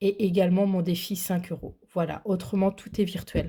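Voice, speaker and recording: A woman with a dark, mellow tone and somewhat breathy voice speaks at a medium pitch and moderate pace in a monotone, flat intonation, on a very clean recording with a silent background. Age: 30s. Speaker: budgeting vlogger. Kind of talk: casual vlog. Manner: hesitant, many fillers.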